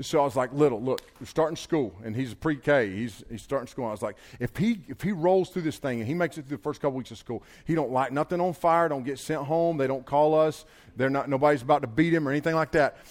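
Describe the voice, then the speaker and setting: In a very clean recording with a silent background, a man speaks in an animated tone at a very fast pace, his fairly high pitch showing ordinary variation. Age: 40s. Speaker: pastor. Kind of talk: sermon.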